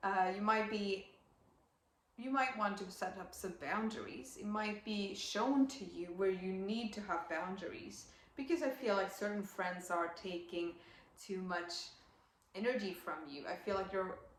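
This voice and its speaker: A woman with a non-native accent speaks at medium pitch with ordinary pitch variation, amid noticeable background noise and audible room echo. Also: fairly slow pace. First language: not English. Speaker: astrologer. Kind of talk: astrology reading monologue. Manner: hesitant, many fillers.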